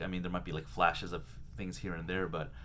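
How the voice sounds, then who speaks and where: A man's voice with vocal fry and very wide pitch swings, in audible room echo. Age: 30s. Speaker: vlogger doing a daily challenge. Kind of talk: casual personal video diary. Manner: many fillers and hesitations.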